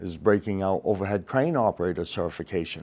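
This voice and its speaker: With an American accent, a man speaks in a fairly low voice with ordinary pitch variation. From Maine, US. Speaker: crane and rigging instructor, former ironworker. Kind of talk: podcast interview. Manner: animated.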